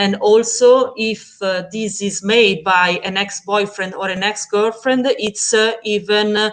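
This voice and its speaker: In an Italian accent, a woman speaks at a fairly slow pace in a medium-pitched voice. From Italy. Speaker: project moderator. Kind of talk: live-streamed panel discussion.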